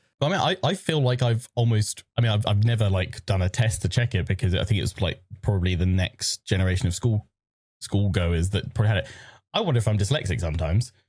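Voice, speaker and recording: A man with a fairly low pitch speaks at a very fast pace in a somewhat breathy voice. His loudness stays very even and his pitch varies in an ordinary way, on a very clean recording with a silent background. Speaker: podcast co-host and streamer. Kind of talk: casual chat. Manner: fast, tripping over words.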